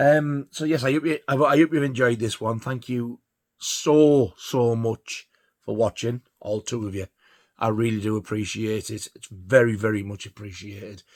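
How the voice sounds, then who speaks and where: A man with a Yorkshire accent at a medium pitch, ordinary pitch variation and big swings in loudness, on a very clean recording with a silent background and a dry, close sound with no echo. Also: moderate pace. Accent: northern English (Yorkshire). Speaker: record collector vlogger. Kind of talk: casual monologue. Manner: halting, stuttering; rambling, filler-heavy.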